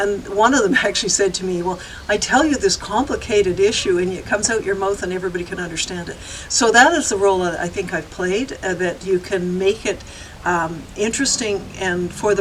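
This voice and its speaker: Noticeable background noise accompanies a woman with a Canadian accent. She talks at a fairly quick pace in a medium pitch. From Victoria, British Columbia, Canada. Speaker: environmental activist. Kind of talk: interview answer.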